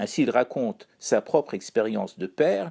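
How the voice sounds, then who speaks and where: A man speaks at a fairly slow pace and medium pitch with a dark, mellow tone, on a very clean recording with a silent background. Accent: Persian. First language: Persian (speaking French). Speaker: columnist. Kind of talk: scripted chronicle reading.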